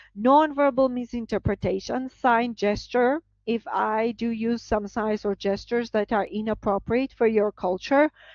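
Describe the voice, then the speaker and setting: With a Georgian accent, a woman speaks at a moderate pace in a fairly high pitch, using ordinary pitch variation and hardly any pauses. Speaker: professor. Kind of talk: lecture. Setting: video call.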